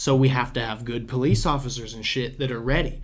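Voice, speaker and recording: A man speaks at a fairly quick pace in a medium pitch. Audible room echo is present. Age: 20s. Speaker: podcast host. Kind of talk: casual chat. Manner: animated.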